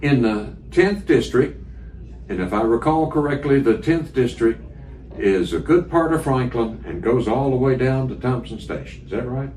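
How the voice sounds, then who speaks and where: A man with an American accent at a moderate pace, with noticeable background noise and audible room echo. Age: 70s. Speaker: radio interviewer. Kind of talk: candidate interview.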